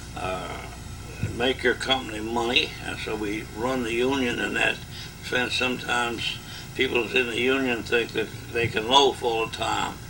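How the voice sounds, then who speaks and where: Audible room echo and noticeable background noise fill the recording. In it, a man speaks at a fairly slow pace. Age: 80s+. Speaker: retired union leader. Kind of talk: oral history interview. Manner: halting.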